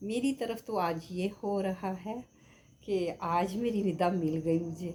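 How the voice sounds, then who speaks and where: At a very slow pace, a woman with a medium pitch speaks in a dark, mellow, somewhat breathy tone with ordinary pitch variation. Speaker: vlogger. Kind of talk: casual vlog monologue.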